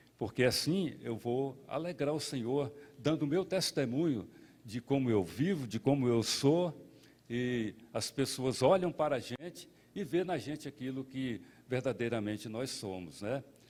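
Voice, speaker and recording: A man with a medium-pitched voice talks at a fairly slow pace with lively intonation. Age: 60s. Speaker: pastor. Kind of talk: sermon. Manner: halting.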